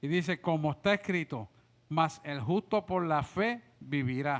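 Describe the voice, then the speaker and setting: In a very clean recording with a silent background, a man's pitch shifts in an ordinary way. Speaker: pastor teaching a discipleship class. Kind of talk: bible study class. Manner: animated.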